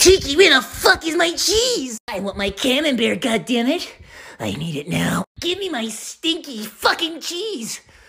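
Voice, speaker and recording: High-pitched put-on character voice at a moderate speed. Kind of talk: comedic. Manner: demanding, cranky.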